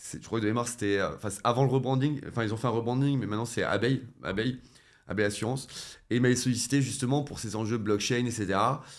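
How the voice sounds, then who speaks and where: The man talks extremely quickly. Behind him there is only silence, and the recording is very clean. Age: 30s. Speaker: web3 entrepreneur and former nurse. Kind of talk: interview conversation. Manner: hesitant, many fillers and restarts.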